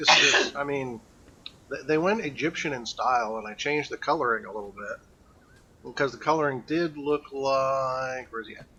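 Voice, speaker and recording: A man's fairly high voice with big swings in loudness amid noticeable background noise. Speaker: game streamer. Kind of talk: live gameplay stream chat. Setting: live stream. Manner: mumbling. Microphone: old mic, too quiet.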